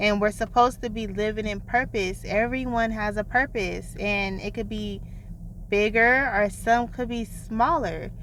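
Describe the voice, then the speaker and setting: A woman's fairly slow delivery, with vocal fry and fairly even intonation. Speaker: self-help video creator. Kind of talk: vlog monologue.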